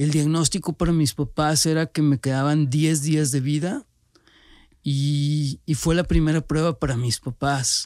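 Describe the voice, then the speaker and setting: This man has an unremarkable speaking voice, fairly high in pitch, with fairly even intonation and very even loudness at a fairly slow pace. The recording is very clean with a silent background, and the sound is dry and close with no echo. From Monterrey, Nuevo León, Mexico. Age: 40s. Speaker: cancer survivor and entrepreneur. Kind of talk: personal testimony.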